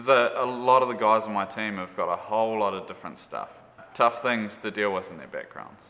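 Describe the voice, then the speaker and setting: Over noticeable background noise, a man with a New Zealand accent talks fairly quickly at medium pitch. His intonation stays fairly even while his loudness swings a lot. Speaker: camp unit leader, Bible student. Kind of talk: testimony. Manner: halting, many fillers.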